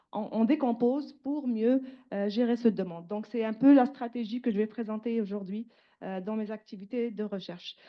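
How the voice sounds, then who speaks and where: With ordinary pitch variation, a woman speaks at a moderate pace and a fairly high pitch. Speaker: researcher, panel speaker. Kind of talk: conference presentation. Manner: hesitant, many fillers.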